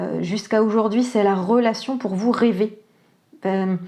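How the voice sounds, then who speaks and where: Soft-spoken and with a calm tone, a woman speaks at a fairly slow pace with a fairly high pitch. Her tone is dark and mellow, with ordinary pitch variation. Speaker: tarot and oracle card reader. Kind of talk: psychic reading guidance. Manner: calm, soft; hesitant, many fillers.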